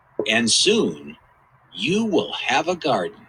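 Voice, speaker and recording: At a very slow pace, a man uses a put-on character voice with a calm tone. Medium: read story. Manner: calm, reassuring.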